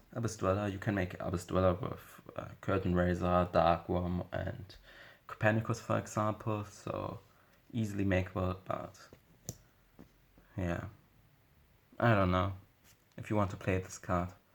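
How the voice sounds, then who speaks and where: A man's very deep, low voice with a non-native accent, fairly even intonation and long, frequent pauses. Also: moderate pace. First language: not English. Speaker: Yu-Gi-Oh card game YouTuber. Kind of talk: deck profile tutorial. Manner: halting, many fillers and self-corrections.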